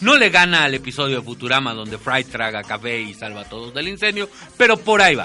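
A man speaks at a very fast pace with very wide pitch swings and big swings in loudness, over noticeable background noise. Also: medium pitch for a man. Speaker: radio host. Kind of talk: casual chat.

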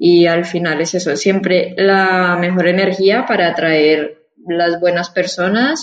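Speaking at a very slow rate, the woman keeps her intonation fairly even. Her voice sits fairly low. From Colombia, Bogotá. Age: 20s. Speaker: immigrant sharing experience. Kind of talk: interview.

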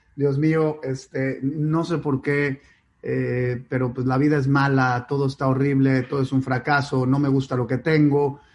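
A man with a fairly high pitch. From Mexico, Mexico City and Monterrey. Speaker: company founder and CEO. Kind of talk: interview. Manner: animated.

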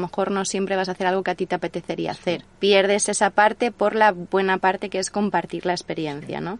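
A woman speaks at a very fast pace in a medium pitch, her intonation monotone and flat, with a dry, close sound and no echo. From Spain, Alicante province. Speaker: traveller, former radio presenter. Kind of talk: interview, casual chat. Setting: in person, same room as host.

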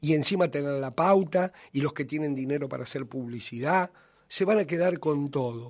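Moderate-paced speech in an Argentine accent with ordinary pitch variation over a quiet background. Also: man, fairly high pitch for a man. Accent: Argentine Spanish (Rioplatense). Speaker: radio host. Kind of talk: radio editorial monologue. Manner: impassioned.

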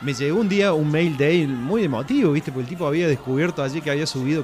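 Over noticeable background noise, a man talks at a very fast pace. His pitch is fairly high and his intonation lively. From Córdoba, Argentina. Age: 40s. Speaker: rock blogger. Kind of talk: casual radio interview.

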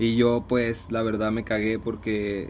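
The pace is fairly slow. A man speaks at medium pitch. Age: 20s. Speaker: podcast co-host. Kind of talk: casual chat.

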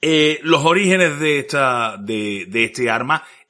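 A man speaks with lively intonation in a bright, sharp tone. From Andalusia, Spain. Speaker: history podcast host. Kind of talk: podcast intro and appeal; casual history chat. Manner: hesitant, many fillers.

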